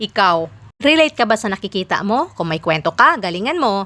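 The tone is bright and sharp, the pace fairly quick, and the recording very clean with a silent background. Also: woman. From Philippines, rural province. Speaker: vlogger. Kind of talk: vlog narration.

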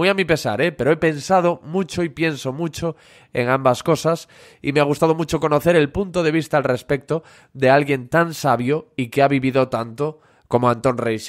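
In a very clean recording with a silent background, a man with an unremarkable speaking voice talks at a moderate pace and a fairly high pitch, with ordinary pitch variation. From Galicia, Spain (Corcubión). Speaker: podcast host. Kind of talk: interview; sales pitch.

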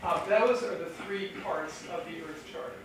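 Recorded with strong room echo and noticeable background noise, a woman speaks at a moderate pace. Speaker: conference speaker. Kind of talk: lecture. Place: hall.

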